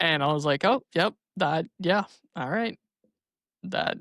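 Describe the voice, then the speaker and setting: The recording is very clean with a silent background and a dry, close sound with no echo. A man speaks at a fairly slow pace with ordinary pitch variation. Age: 20s. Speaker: podcast host. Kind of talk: casual chat.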